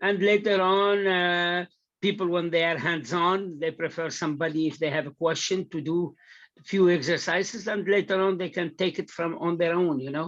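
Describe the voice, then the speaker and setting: The background stays quiet. Speech moves at a moderate pace. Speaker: prospective trainee at demo session. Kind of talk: casual meeting discussion. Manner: loud; halting. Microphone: video call.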